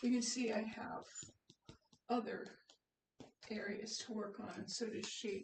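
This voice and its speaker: A woman talks at a fairly slow pace with a fairly high pitch and a somewhat breathy sound. Long, frequent pauses break her speech, and room echo is audible. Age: 70s. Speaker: hobby painter. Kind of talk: painting demonstration. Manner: casual, hesitant.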